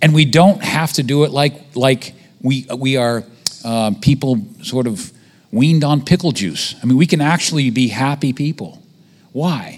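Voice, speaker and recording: A man speaks at a moderate pace in a fairly high pitch, with ordinary pitch variation and an unremarkable speaking voice. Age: 50s. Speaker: visiting preacher. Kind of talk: sermon.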